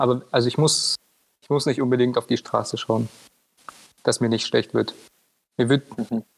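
The audio is dry and close, without any echo. A man talks at a fairly quick pace. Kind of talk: casual chat.

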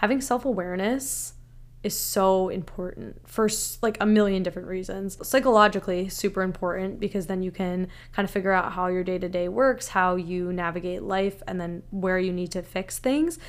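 This is an ordinary speaking voice at a fairly quick pace with ordinary pitch variation. The recording is very clean with a silent background. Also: woman, medium pitch for a woman. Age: 20s. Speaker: podcast host. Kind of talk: solo monologue podcast.

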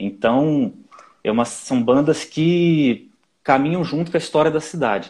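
In a normal speaking voice, a man with a fairly high pitch delivers his words slowly, at a fairly slow pace, with lively intonation. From Brazil, Nova Friburgo (Rio de Janeiro state). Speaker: orchestral flutist. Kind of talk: casual interview.

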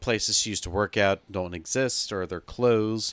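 Recorded very cleanly with a silent background and a dry, close sound with no echo, a man speaks at a moderate pace in an unremarkable speaking voice, fairly low in pitch. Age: 30s. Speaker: podcast co-host. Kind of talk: casual chat.

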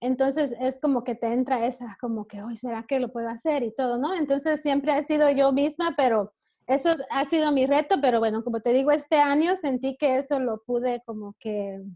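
A woman speaks at a high pitch with a dark, mellow tone and ordinary pitch variation. Her pace is moderate, and the sound is dry and close with no echo. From Belize. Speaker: women's business and faith coach. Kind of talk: interview.

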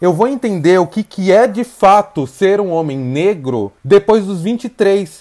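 Spoken at a very slow pace with hardly any pauses. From Brazil, São Paulo outskirts. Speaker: presenter, speaker and diversity consultant. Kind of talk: interview.

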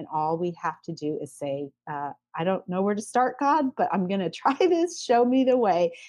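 This is a woman's voice. Her pitch swings very widely. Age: 40s. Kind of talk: testimony.

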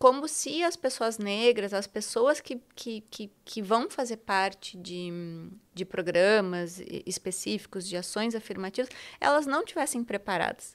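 A woman with a fairly high pitch speaks at a fairly slow pace in a plain, everyday voice, with lively intonation and big swings in loudness, in a very clean recording with a silent background. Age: 40s. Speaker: teacher and diversity consultant. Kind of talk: interview.

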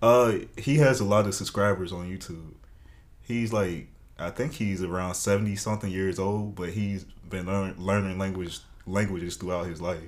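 Speaking at a moderate pace, a man with an American accent has a very deep, low pitch and fairly even intonation. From US South. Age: 20s. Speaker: college student. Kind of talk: casual interview chat.

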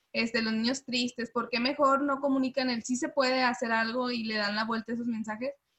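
Fairly quick and with hardly any pauses, a woman with a northern Mexican accent speaks high-pitched and monotone, in a dry, close sound with no echo. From Monterrey, northern Mexico. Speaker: podcast host. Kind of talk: casual interview chat.

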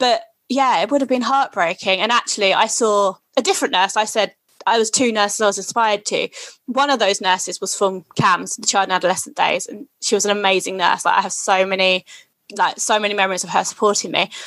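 Using a normal speaking voice, a woman at medium pitch talks at a fairly quick pace with ordinary pitch variation. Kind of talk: casual interview.

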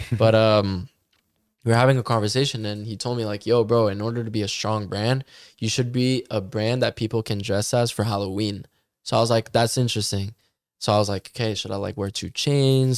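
With a Canadian accent, a man talks at a fairly quick pace in medium pitch and fairly even intonation, an ordinary speaking voice. The recording is very clean, with a silent background. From Canada, Ottawa. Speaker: musician. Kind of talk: casual chat.

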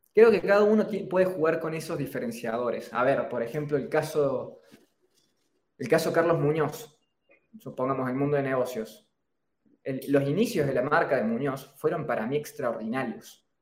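A man's fairly high pitch and lively intonation, in a Cordoban Argentine accent. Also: moderate pace. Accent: Argentine Spanish, Córdoba. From Argentina, Córdoba. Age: 20s. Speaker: entrepreneur, personal branding expert. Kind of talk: interview on a live stream.

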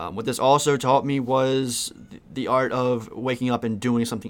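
A man talks in a plain, everyday voice. His pitch is medium and his pace moderate. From Maryland, US (Westminster). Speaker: podcast host, t-shirt print business owner. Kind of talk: solo monologue, personal story. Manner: casual, with frequent fillers.

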